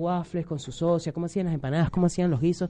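A man's voice carries a dark, mellow tone at a high pitch. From Venezuela. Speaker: social media humorist. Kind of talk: radio interview.

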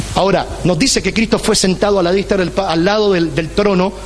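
Amid noticeable background noise and audible room echo, a man speaks at a high pitch and moderate pace. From Puerto Rico. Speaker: pastor. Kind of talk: sermon. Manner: animated.

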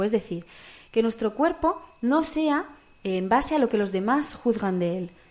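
A woman talks at a moderate pace in a fairly high pitch, her intonation lively, while noticeable background noise continues. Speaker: podcast co-host. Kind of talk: casual chat.

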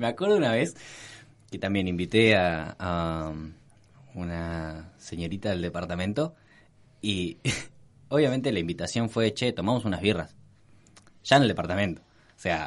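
Against a quiet background, a man with a very deep, low pitch speaks at a fairly slow pace, pausing long and often while his loudness swings widely. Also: ordinary pitch variation. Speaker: podcast co-host. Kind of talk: casual chat.

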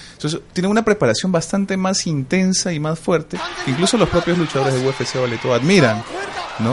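Over noticeable background noise, a man talks at a fairly quick pace in a fairly high voice with ordinary pitch variation. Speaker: voice actor and wrestling commentator. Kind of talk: casual interview.

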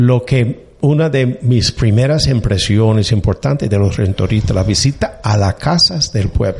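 A fairly slow pace with ordinary pitch variation. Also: man. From US (Annapolis, Maryland). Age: 60s. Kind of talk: interview conversation. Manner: halting, many fillers.

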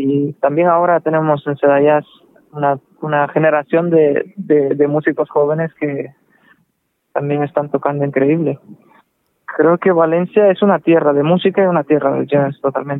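A man speaks with fairly high pitch. His delivery is monotone, with flat intonation. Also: moderate pace. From Cuba (Manzanillo), later Russia. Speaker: jazz saxophonist. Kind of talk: interview. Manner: halting, many fillers.

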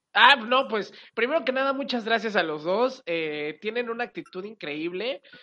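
A woman with a Mexican accent speaks at a moderate pace in a bright, sharp tone, her fairly high pitch swinging very widely. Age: 20s. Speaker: radio and TV presenter. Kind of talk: casual interview.

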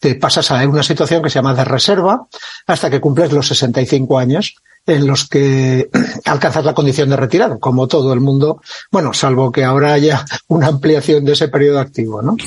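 A man speaks at a moderate pace with a fairly high pitch, ordinary pitch variation, very even loudness and a somewhat breathy quality. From Catalonia, Spain (Lleida). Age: 60s. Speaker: retired army officer and author. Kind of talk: interview conversation.

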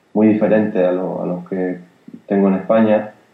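The man's intonation is monotone and flat. He moves at a fairly quick pace. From Spain, Granada (Andalusia). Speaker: jazz pianist. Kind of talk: interview.

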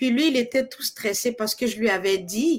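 Over a silent background in a very clean recording, a woman talks at a very slow pace with ordinary pitch variation. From Ivory Coast. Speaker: singer. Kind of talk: interview.

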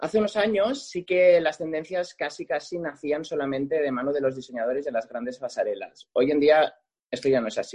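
A man uses a normal speaking voice, fairly high in pitch with ordinary pitch variation, and talks at a fairly quick pace. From Catalonia, Lleida province. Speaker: makeup artist. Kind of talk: interview.

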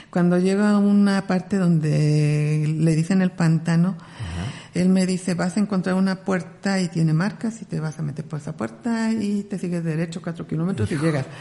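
A woman speaks at a fairly low pitch with ordinary pitch variation. Noticeable background noise runs under her voice. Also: moderate pace. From Mexico, Ciudad Nezahualcóyotl (Mexico City area). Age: 40s. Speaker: ultra-distance trail runner. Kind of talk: interview.

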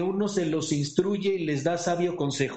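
A man speaks in a normal speaking voice, fairly high-pitched, at a moderate pace with ordinary pitch variation. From Pachuca, Hidalgo, Mexico. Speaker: participant sharing experience. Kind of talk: personal testimony. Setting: Zoom call.

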